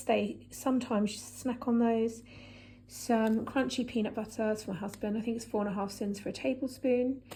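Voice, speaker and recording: A woman speaks at a fairly high pitch with a dark, mellow tone. Her intonation is fairly even and her pace moderate. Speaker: vlogger. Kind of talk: casual chat.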